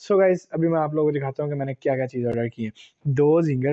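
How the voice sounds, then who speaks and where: A man's fairly even voice, dry with no echo, against a quiet background. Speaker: food vlogger. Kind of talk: casual vlog chat. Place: home room. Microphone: lapel.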